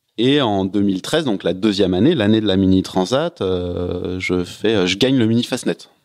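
A man's fairly slow speech with hardly any pauses. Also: fairly low pitch for a man, ordinary pitch variation. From Paris suburbs, France. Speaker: professional offshore sailor. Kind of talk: podcast interview. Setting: house in Lorient. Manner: halting, many fillers.

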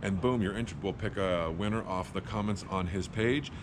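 A man talks at a moderate pace. His pitch is low, with ordinary pitch variation.

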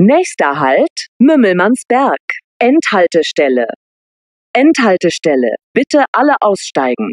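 Speaking very slowly, a woman uses a fairly high voice with very wide pitch swings and vocal fry. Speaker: public transport announcer. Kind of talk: train station announcements. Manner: clear, neutral, measured.

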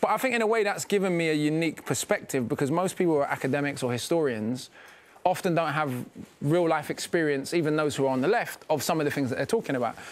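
In a London accent, a man speaks at a very fast pace with lively intonation and a fairly high pitch. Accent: British, London. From London, England. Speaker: rapper and author. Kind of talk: interview answer. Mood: calm, reflective. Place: studio.

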